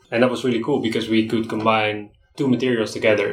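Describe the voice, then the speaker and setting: With a Dutch accent, a man talks at a very fast pace in a monotone, flat intonation and a fairly low pitch while music plays in the background. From Netherlands, between Amsterdam and Rotterdam. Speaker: graphic designer. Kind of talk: casual interview chat. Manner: halting, repeats words.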